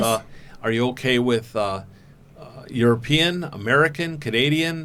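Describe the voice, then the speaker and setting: The speaker has a plain, everyday voice, a moderate pace and ordinary pitch variation. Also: man, medium pitch for a man. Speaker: podcast host interviewing a young woman. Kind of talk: interview questions.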